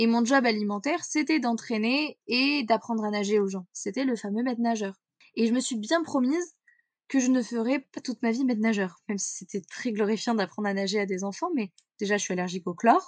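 A woman speaks in an ordinary speaking voice, fairly high-pitched, at a fairly quick pace. Her intonation is lively, and the background is quiet. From central France (Corrèze). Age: 20s. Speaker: mental performance coach. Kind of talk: interview conversation.

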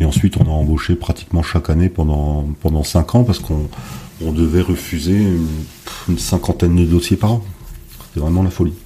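A man's very deep, low voice at a moderate pace, with fairly even intonation and noticeable background noise. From northern France, Dunkirk area. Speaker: wine consultant and winemaker. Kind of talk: interview.

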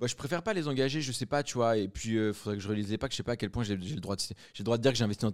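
The recording is very clean and the background silent. Pitch variation in this man's voice is ordinary. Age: 20s. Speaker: entrepreneur. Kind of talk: casual interview.

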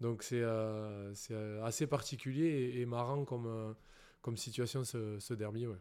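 With a dark, mellow tone at a medium pitch, a man talks at a fairly slow pace and keeps his intonation fairly even. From southwest France, Béarn (Pyrénées-Atlantiques). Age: 30s. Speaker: professional rugby player. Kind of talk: casual interview. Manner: hesitant, many fillers and repetitions.

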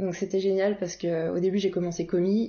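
A woman's medium-pitched voice in a monotone, flat intonation, with noticeable background noise. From Paris region, France. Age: 20s. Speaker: naturopath and wellness coach. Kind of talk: interview conversation. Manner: hesitant, many filler sounds.

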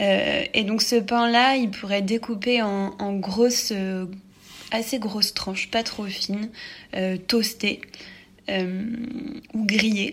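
A woman speaks at a very slow pace with fairly even intonation. There is noticeable background noise. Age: 20s. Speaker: architect, listener. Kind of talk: recorded listener message.

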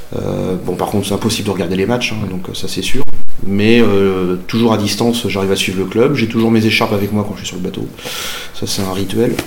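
A man's fairly low, fairly even voice at a fairly quick pace, with audible room echo and noticeable background noise. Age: 40s. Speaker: merchant sailor, football supporter. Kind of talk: interview, casual storytelling.

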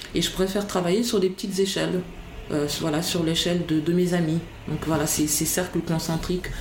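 Through audible room echo and noticeable background noise, a woman of fairly low pitch talks at a fairly quick pace with fairly even intonation. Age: 40s. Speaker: academic and writer. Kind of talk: interview. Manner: halting, repeats words.

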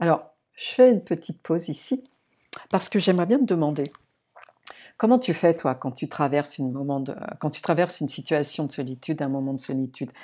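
A woman with a very deep, low pitch and a dark, mellow, warm tone speaks at a fairly quick pace with lively intonation and long, frequent pauses, on a very clean recording with a silent background. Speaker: podcast host, personal development coach. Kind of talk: solo podcast monologue. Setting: staying alone at a friend's house in the countryside. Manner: warm, conversational.

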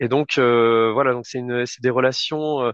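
Against a quiet background, a man speaks very slowly at a medium pitch, the sound dry and close with no echo. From France, Limoges. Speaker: football club communications director. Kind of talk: interview. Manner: hesitant, many fillers.

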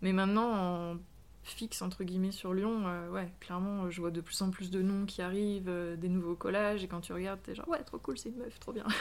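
Speaking at a fairly quick pace, a woman has an unremarkable speaking voice of medium pitch and fairly even intonation. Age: 30s. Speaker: street artist. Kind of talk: interview.

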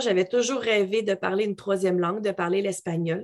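At a moderate pace, a woman speaks with a medium pitch and ordinary pitch variation. The background is quiet. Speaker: English coach and yoga teacher. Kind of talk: interview conversation. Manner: animated.

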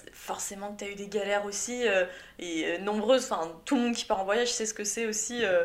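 Audible room echo surrounds a woman talking at a fairly quick pace with fairly even intonation. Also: medium pitch for a woman. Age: 20s. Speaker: podcast host. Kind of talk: interview.

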